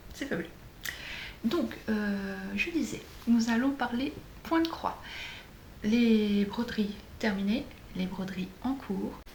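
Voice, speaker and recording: A woman's fairly high voice with lively intonation, a very slow pace and long, frequent pauses, amid noticeable background noise and audible room echo. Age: 40s. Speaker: flosstube vlogger, childminder. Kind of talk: casual craft vlog. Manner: hesitant, many fillers.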